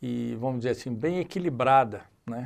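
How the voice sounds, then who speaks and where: Here a man speaks with ordinary pitch variation. The recording is very clean, with a silent background. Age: 60s. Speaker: business executive. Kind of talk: casual chat.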